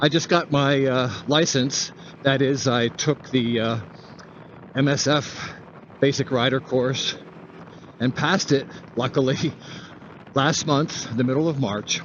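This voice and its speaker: Through noticeable background noise, a man speaks slowly at medium pitch with fairly even intonation, very even loudness and long, frequent pauses. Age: 70s. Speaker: motovlogger. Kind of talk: casual monologue while riding. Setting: outdoors riding a scooter.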